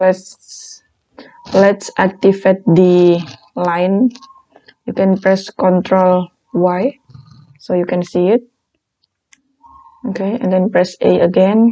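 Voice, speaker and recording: This woman speaks at a very slow pace with long, frequent pauses. Her pitch is medium and her intonation fairly even. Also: dry, close sound with no echo. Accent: non-native. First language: not English. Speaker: design tutorial creator. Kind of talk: tutorial.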